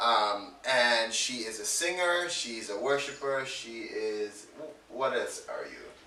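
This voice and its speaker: Talking at a very slow pace with hardly any pauses, a man's loudness swings widely. Audible room echo and noticeable background noise surround the recording. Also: medium pitch for a man, ordinary pitch variation. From born in England, grew up in Jamaica. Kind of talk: casual interview chat.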